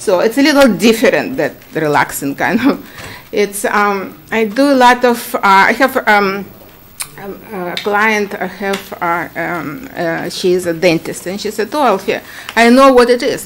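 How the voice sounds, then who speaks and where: Over noticeable background noise, a woman with a Ukrainian accent speaks at medium pitch. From Ukraine. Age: 60s. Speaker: esthetician applying for a permit. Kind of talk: public hearing testimony. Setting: town commission meeting. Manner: halting.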